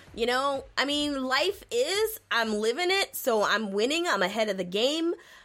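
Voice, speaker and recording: Animated and bright with a sharp tone, a woman's high-pitched voice moves at a moderate pace through very wide pitch swings. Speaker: podcast host. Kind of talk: casual chat.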